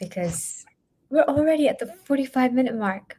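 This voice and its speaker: In an American accent, a normal speaking voice moves at a moderate pace with lively intonation. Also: woman. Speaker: interviewer. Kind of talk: interview.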